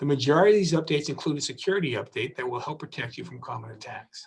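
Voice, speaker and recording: A man's somewhat breathy voice. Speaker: district attorney. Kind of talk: public safety talk. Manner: fast.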